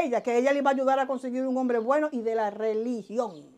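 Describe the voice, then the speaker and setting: In a Dominican accent, a woman speaks at a very fast pace. Her pitch is high, her intonation fairly even. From Dominican Republic, southern border region (Elías Piña), raised in Santo Domingo; Dominican Republic. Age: 50s. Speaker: vodou spiritual practitioner; interviewee. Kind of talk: interview, life story. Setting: at her home. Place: home room. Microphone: lapel.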